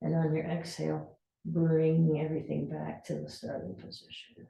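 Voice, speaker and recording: This is a woman speaking. She keeps a moderate pace. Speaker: fitness instructor. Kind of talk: exercise class instruction.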